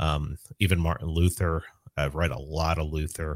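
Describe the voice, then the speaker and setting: Recorded very cleanly against a silent background, a man with an American accent speaks with a very deep, low pitch and fairly even intonation. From New York City (South Bronx). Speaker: libertarian activist. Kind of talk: casual chat.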